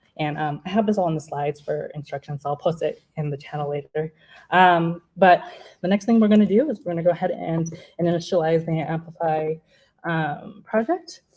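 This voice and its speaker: A woman with an unremarkable speaking voice and fairly low pitch talks at a fairly quick pace with ordinary pitch variation. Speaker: software developer giving a talk. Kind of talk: technical demo talk.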